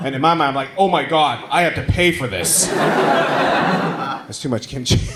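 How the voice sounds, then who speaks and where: Through audible room echo and noticeable background noise, a man speaks at a fairly slow pace with a fairly high pitch. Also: ordinary pitch variation. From Taiwan. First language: Mandarin. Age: 30s. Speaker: stand-up comedian. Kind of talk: stand-up. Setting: stage with audience.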